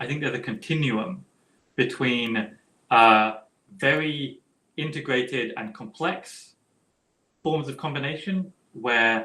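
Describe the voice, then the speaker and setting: At a fairly slow pace with long, frequent pauses, a man speaks in a bright, sharp tone at a medium pitch, his pitch varying in an ordinary way. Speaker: philosopher. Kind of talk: academic Q&A.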